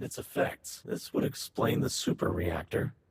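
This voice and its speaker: A man uses a put-on character voice that is raspy and calm in tone. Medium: video game. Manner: calm, methodical.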